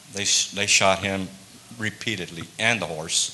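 Over light background noise, a man talks at a moderate pace with a very deep, low pitch and monotone, flat intonation. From Tucson, Arizona (south side barrios); Arizona. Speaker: biker ministry member; guest. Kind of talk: testimony. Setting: church service. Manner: halting. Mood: earnest personal story. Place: church.

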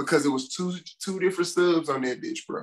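A man's high-pitched voice with ordinary pitch variation, a fairly quick pace and a quiet background. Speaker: podcast co-host. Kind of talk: casual podcast conversation. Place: home room. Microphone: video call.

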